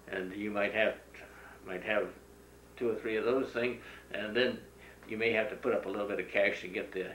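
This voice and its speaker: A man with an American accent speaks over light background noise, with audible room echo. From Northern California, US West. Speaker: farmer. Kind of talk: oral history interview. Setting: at his home, beside old farm equipment. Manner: halting, frequent filler sounds. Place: home room.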